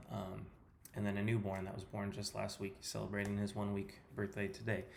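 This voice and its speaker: Moderately paced speech in an American accent, with audible room echo and noticeable background noise. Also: man. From California. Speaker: personal trainer. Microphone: poor sound quality.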